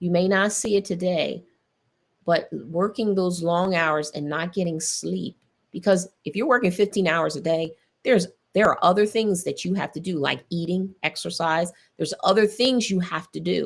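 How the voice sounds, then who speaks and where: A woman speaks in an animated tone with vocal fry. The recording is very clean, with a silent background. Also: medium pitch for a woman, ordinary pitch variation, moderate pace. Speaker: podcast host. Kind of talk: faith-based health talk.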